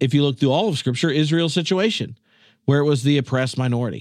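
This man has an unremarkable speaking voice with an American accent, a fairly high pitch and ordinary pitch variation, heard against a quiet background. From North Carolina, US South. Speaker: theology professor and former minister. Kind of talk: casual chat.

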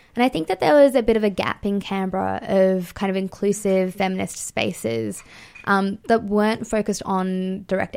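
A woman speaks with an Australian accent. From Fiji-born, Indian family, raised in Australia. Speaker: feminist writer and editor. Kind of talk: radio interview. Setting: radio studio.

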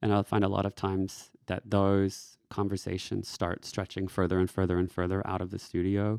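A man with an American accent and a very deep, low voice speaks at a moderate pace in a monotone, flat delivery with hardly any pauses, on a very clean recording with a silent background and a dry, close sound with no echo. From Texas. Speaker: yoga teacher and life coach. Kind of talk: casual interview chat. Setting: studio.

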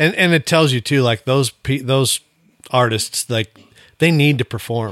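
In a normal speaking voice with an American accent, a man talks fairly slowly at a medium pitch with ordinary pitch variation. The sound is dry and close with no echo, on a very clean recording with a silent background. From Montana. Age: 40s. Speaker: retired rodeo athlete. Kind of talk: casual chat.

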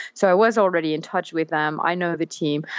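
In a German accent, a woman speaks at a fairly low pitch with fairly even intonation. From Germany. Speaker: business development manager. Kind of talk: interview.

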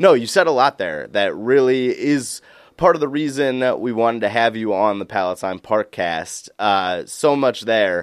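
A man with an unremarkable speaking voice talks at medium pitch and a fairly slow pace, with hardly any pauses and lively intonation. The recording is very clean, with a silent background. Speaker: podcast host. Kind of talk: podcast interview.

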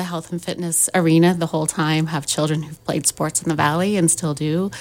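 This woman has a plain, everyday voice, a fairly low pitch and fairly even intonation. She talks at a moderate pace with hardly any pauses on a very clean recording with a silent background. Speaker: gym assistant manager. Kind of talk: casual radio interview. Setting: radio studio.

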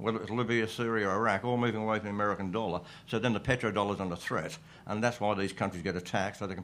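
A man speaks very fast with an Australian accent. His pitch is fairly low and his intonation fairly even. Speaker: comedian. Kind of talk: comedy panel discussion. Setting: stage with live audience.

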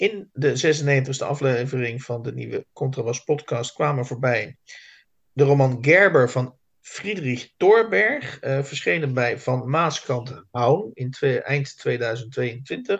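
A man's very slow, somewhat breathy voice at a medium pitch, with ordinary pitch variation and a quiet background. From South Holland, Netherlands. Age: 50s. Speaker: literary podcast host. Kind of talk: casual chat. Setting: video call.

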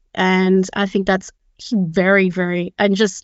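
In an Australian accent, a woman speaks at medium pitch with monotone, flat intonation. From Australia, Sydney. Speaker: product manager. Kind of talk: panel discussion.

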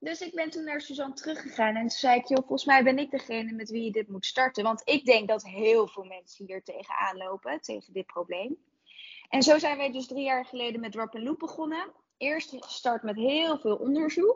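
Delivered at a moderate pace, this voice has lively intonation and big swings in loudness. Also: woman, high pitch for a woman. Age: 20s. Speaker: entrepreneur, founder of a clothing recycling service. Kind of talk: interview.

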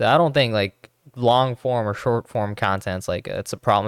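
A man talks in a plain, everyday voice at medium pitch, with ordinary pitch variation and a moderate pace. The recording is very clean with a silent background, and the sound is dry and close with no echo. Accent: American. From Los Angeles. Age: young. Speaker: podcast producer. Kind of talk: casual chat. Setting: studio.

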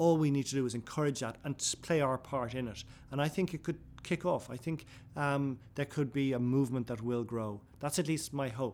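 On a very clean recording with a silent background, a man talks at a fairly quick pace and medium pitch with ordinary pitch variation. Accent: Irish. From Ireland. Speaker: author and broadcaster. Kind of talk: interview; reading aloud. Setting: in a building, in person.

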